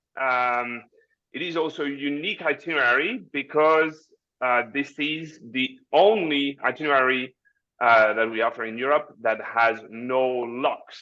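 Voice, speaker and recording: A man with a French accent talks at a fairly slow pace, his medium pitch showing ordinary variation and his tone bright and sharp. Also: quiet background. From France. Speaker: cruise line representative. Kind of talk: webinar presentation. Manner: halting.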